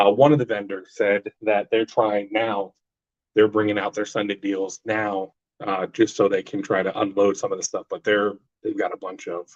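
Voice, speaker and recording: Recorded with a dry, close sound and no echo, a man speaks at a moderate pace with a fairly low pitch and fairly even intonation. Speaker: comic book collector vlogger. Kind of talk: casual live stream chat. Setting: bathroom. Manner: loud.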